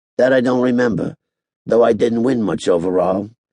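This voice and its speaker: A man puts on a raspy character voice at a medium pitch. He talks at a moderate pace with ordinary pitch variation. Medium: read story. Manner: laid-back, folksy.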